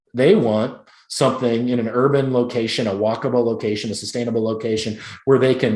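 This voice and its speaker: In an American accent, a man rattles along very fast. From Chicago. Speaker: real estate agent. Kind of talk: presentation.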